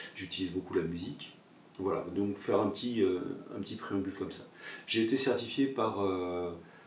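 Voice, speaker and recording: Amid noticeable background noise and audible room echo, a man with a fairly low pitch speaks at a moderate pace with ordinary pitch variation and long, frequent pauses. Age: 60s. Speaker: yoga teacher and former photojournalist. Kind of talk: personal video monologue. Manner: halting, many hesitations.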